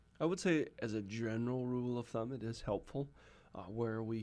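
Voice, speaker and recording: This man has a medium pitch and an ordinary speaking voice. He talks at a moderate pace with ordinary pitch variation. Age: 20s. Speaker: agriculture technology professional. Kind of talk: interview.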